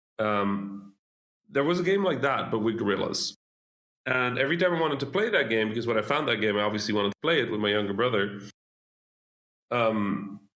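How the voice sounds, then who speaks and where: With a Dutch accent, a man speaks at a fairly quick pace and medium pitch, his lively intonation held at very even loudness and split by long, frequent pauses. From Netherlands, Dutch-Egyptian family. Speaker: game developer. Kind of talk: interview.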